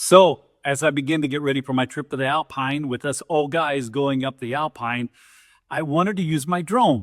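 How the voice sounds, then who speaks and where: A man with a normal speaking voice talks at a moderate pace, his fairly high pitch varying in an ordinary way. The recording is very clean with a silent background and a dry, close sound without echo. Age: 60s. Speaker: off-road hobbyist YouTuber. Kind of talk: casual talk to camera.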